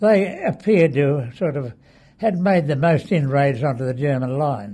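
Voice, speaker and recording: Speaking at a moderate pace, a man uses lively intonation and a fairly high pitch. His tone is dark and mellow, and somewhat breathy. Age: 80s+. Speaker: war veteran. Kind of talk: interview answer. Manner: hesitant, reminiscing.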